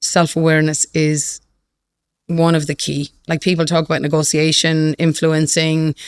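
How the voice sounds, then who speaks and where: Speaking at a moderate pace, a woman with a very deep, low pitch talks in a flat monotone, recorded dry and close with no echo. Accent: Irish. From Ireland. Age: 50s. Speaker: fintech CEO. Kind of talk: podcast interview. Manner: repetitive, with false starts.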